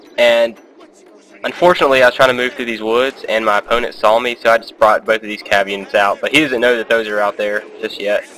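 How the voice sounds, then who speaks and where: With noticeable background noise, a man of medium pitch talks at a fairly quick pace with fairly even intonation. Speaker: gaming commentator. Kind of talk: gameplay commentary. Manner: fast; casual, hesitant with fillers.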